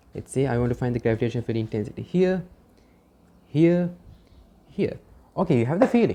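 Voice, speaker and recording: A woman with a very deep, low voice and a dark, mellow tone talks very fast with lively intonation and long, frequent pauses. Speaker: physics teacher. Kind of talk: lecture.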